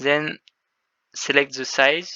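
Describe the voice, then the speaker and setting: A man speaks at a very slow pace with a French accent. His intonation is monotone and flat. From France. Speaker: game developer. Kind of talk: tutorial. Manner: halting.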